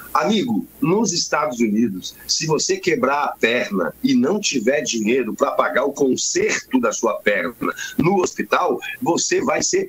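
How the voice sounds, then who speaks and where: A man talks at a medium tempo while clear noise runs in the background. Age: 60s. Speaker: journalist, news commentator. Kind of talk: live news commentary chat. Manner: animated.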